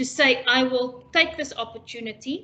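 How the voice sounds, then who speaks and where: A woman speaks in a raised, projected voice with a bright, sharp tone. Her pitch is high, with ordinary pitch variation. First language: not English. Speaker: international education specialist. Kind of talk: webinar presentation. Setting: online webinar.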